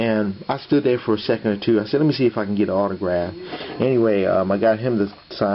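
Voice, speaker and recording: Over noticeable background noise, the voice moves at a fairly quick pace with ordinary pitch variation. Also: man. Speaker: sports memorabilia collector, YouTuber. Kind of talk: casual vlog. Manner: halting, many fillers.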